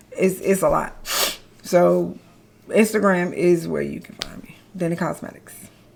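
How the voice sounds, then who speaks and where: A woman speaks at a moderate pace with long, frequent pauses and big swings in loudness, over noticeable background noise. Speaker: skincare business founder. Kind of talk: interview Q&A. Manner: halting.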